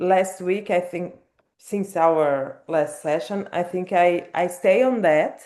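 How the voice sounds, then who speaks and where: A woman with a non-native accent speaks at a very slow pace with a fairly low pitch. Her tone is dark and mellow, with ordinary pitch variation. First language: not English. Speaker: book club participant. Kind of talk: casual group discussion. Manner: halting, repeats words.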